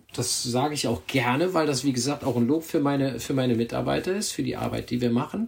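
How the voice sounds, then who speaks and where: Vocal fry runs through a man's medium-pitched voice as he talks at a moderate pace. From Germany, Bergisches Land. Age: 50s. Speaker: cycling magazine editor. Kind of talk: casual chat. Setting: video call.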